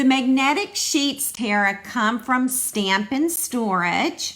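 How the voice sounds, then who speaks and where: Bright and sharp in tone, a woman speaks at a very slow pace. Her high pitch moves with lively intonation. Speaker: stamping demonstrator. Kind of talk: live craft demo. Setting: online livestream. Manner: casual, chatty.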